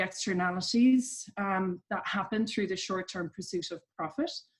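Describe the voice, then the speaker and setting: A woman is speaking at a moderate pace. Her pitch sits in the medium range. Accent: Irish. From Ireland. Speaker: coach at a business charity. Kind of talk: interview.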